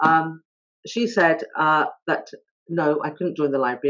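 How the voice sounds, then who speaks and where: With a southern English accent, a woman speaks at a moderate pace in a very deep, low pitch. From England, High Wycombe (born in India). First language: not English (Indian language). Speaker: author. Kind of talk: talk at online author event. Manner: hesitant, many fillers.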